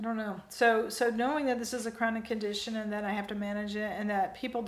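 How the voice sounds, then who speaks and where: The voice moves at a very fast pace with fairly even intonation, with audible room echo and noticeable background noise. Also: woman. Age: 60s. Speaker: vlogger. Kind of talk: personal vlog monologue.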